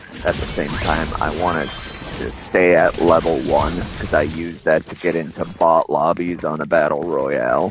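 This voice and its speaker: Music plays in the background. A man with a very deep, low voice talks at a moderate pace. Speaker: gaming streamer. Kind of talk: casual gaming livestream chat. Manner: halting, repeats words.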